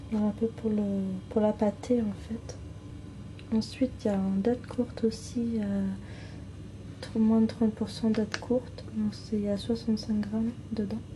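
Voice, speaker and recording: Soft-spoken and whispering, a woman talks at a fairly slow pace with long, frequent pauses. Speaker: ASMR content creator. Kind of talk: casual talk to camera, product showcase. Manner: soft-spoken, whispered.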